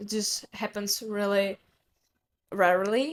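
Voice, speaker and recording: Here a woman speaks in a Czech accent. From Czech Republic. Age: young. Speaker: podcast host. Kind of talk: solo podcast monologue. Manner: halting.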